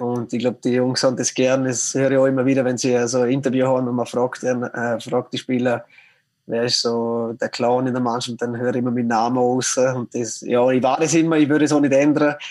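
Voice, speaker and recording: Speaking at a fairly quick pace, a man holds a medium pitch with monotone, flat intonation. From Austria, Vorarlberg (Lustenau). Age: 30s. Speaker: professional ice hockey player. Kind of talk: interview. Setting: remote call. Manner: halting, many fillers.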